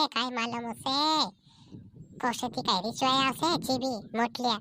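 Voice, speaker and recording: In a cartoonish character voice, a woman talks at a moderate pace, pitched high, with ordinary pitch variation. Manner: repetitive, complaining.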